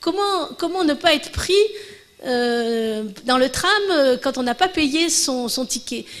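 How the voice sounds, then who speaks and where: Her high voice moves through very wide pitch swings as the woman speaks at a very slow pace. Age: 60s. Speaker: professor giving a conference. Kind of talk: Q&A after lecture. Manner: halting, many false starts.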